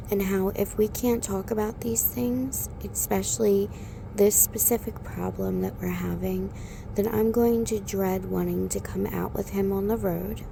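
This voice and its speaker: A soft-spoken woman at a fairly slow pace, with noticeable background noise. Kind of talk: ASMR relationship talk.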